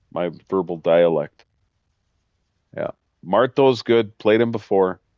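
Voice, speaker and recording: Speaking at a very slow pace, a man uses a fairly low pitch and ordinary pitch variation. He has a Midwestern accent. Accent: Midwestern, sometimes mistaken for Canadian. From US Midwest. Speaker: gaming streamer. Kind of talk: live gameplay commentary. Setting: live stream.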